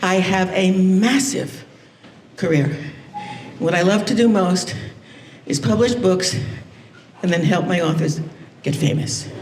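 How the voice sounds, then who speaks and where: A woman's medium-pitched voice at a fairly slow pace, with lively intonation, very even loudness, long and frequent pauses, audible room echo and noticeable background noise. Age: 80s+. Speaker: motivational speaker. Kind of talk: conference keynote talk. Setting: stage with audience. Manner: animated.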